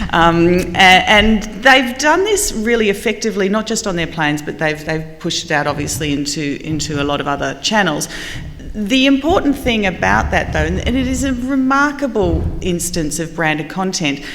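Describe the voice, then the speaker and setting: A woman with an Australian accent speaks at a moderate pace and medium pitch, with very wide pitch swings. Audible room echo and noticeable background noise are present. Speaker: marketing panelist. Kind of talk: panel discussion.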